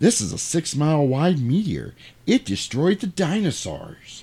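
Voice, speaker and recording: Using a put-on character voice at a fairly high pitch, a man speaks at a moderate pace in a very clean recording with a silent background. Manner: exaggerated, cartoonish.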